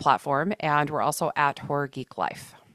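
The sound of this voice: In a very clean, silent recording with a dry, close sound and no echo, a woman with a Texan accent speaks in a very deep, low pitch and a bright, sharp tone.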